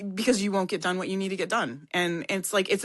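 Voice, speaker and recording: With a quiet background, a woman speaks at a fairly quick pace and a medium pitch. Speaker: podcast guest sharing past life regression. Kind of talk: casual conversation. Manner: loud.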